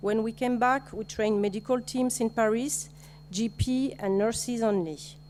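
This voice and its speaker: A woman in a French accent, fairly high-pitched, at a moderate pace. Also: ordinary pitch variation. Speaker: nurse. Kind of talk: conference presentation. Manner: halting.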